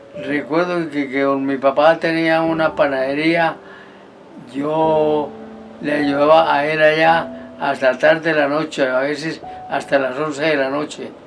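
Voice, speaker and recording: Over music in the background, a man speaks at a fairly slow pace in a monotone, flat delivery. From Colombia, Santander (San Gil). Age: 80s+. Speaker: retired army sergeant. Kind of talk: life-story interview. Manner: halting, repeats words.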